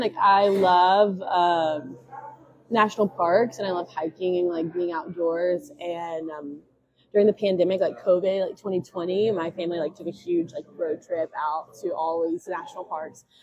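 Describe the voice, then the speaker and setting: A woman speaks with an American accent. Her pitch is medium and her pace fairly slow. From West Tennessee (Jackson). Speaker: recent graduate, speech pathology. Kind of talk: casual chat.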